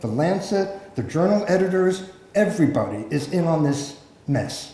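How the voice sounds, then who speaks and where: Amid noticeable background noise and audible room echo, a man with an American accent speaks at a high pitch with lively intonation. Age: 60s. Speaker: journalist and public health academic. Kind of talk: conference talk.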